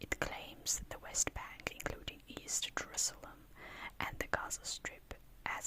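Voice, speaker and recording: Noticeable noise fills the background as she whispers at a fairly slow pace. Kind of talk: whispered ASMR reading of an encyclopedia article. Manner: whispered.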